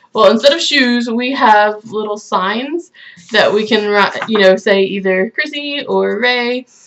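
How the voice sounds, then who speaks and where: A woman with an American accent speaks at a fairly slow pace in an unremarkable speaking voice, fairly high in pitch with ordinary pitch variation. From United States. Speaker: YouTuber. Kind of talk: casual chat.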